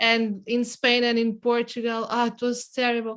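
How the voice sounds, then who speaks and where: A woman with a non-native accent speaks at a fairly slow pace in a fairly high voice. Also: very clean recording, silent background. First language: not English. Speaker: writer. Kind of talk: casual chat. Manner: halting.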